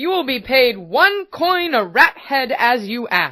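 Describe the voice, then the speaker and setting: A woman's put-on character voice, high and very wide in its pitch swings, at a fairly slow pace. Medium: read story. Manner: sly, condescending.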